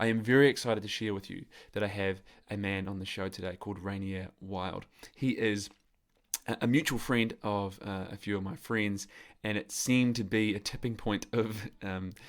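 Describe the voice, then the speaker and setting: A man in a New Zealand accent speaks at a moderate pace with a fairly low pitch and fairly even intonation. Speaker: podcast host, men's coach. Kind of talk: podcast interview. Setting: call with remote guest.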